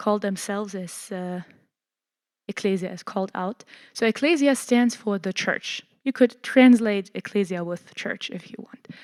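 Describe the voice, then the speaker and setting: A woman with a German accent speaks at a moderate pace and medium pitch, her ordinary pitch variation captured in a dry, close recording with no echo, very clean and against a silent background. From Germany. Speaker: church lecturer. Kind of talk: lecture. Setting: church hall with audience. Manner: halting, many fillers.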